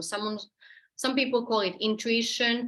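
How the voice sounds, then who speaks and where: With a Finnish accent, a woman speaks at a moderate pace with ordinary pitch variation. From Finland. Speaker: therapist and energy healer. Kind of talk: online presentation. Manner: halting.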